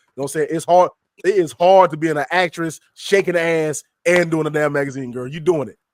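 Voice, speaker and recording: A man speaks in an animated tone with a fairly high pitch. The sound is dry and close, with no echo. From US South. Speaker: magazine editor and podcast co-host. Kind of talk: casual chat. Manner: fast.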